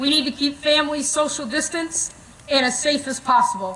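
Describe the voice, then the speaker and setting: Noticeable background noise surrounds a woman with a high pitch. She speaks in a raised, projected voice. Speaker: school administrator. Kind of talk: ceremony announcements. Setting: outdoor stadium, PA system. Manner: formal.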